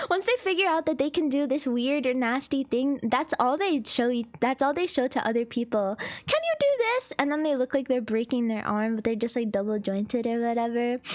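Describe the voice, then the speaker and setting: Through noticeable background noise, a woman talks at a high pitch with ordinary pitch variation and hardly any pauses. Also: fairly quick pace, very even loudness. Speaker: VTuber streamer. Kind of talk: casual chat. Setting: live stream.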